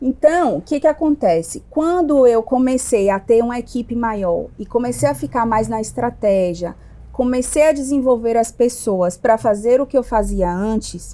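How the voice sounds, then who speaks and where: A woman with a fairly high pitch and a dark, mellow tone talks at a moderate pace with lively intonation and hardly any pauses. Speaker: entrepreneur, restaurant owner. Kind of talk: podcast interview. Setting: at her restaurant.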